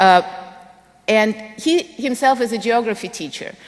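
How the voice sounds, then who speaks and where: Speaking at a moderate pace in a Russian accent, a woman uses a high pitch and lively intonation. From Russia, Moscow. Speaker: physics education professor. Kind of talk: lecture.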